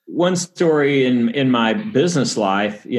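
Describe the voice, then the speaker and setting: With a Texan accent, a man speaks using ordinary pitch variation. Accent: Texan American. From Texas, Dallas suburbs. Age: 50s. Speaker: sports agent and author. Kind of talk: interview testimony.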